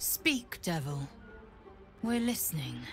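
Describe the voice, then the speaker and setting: Over clear music in the background, a woman performs a put-on character voice. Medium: video game. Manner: curt, commanding.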